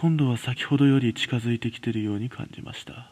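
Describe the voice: Speaking at a fairly quick pace, a man uses a medium-pitched voice. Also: ordinary pitch variation, slightly mellow tone.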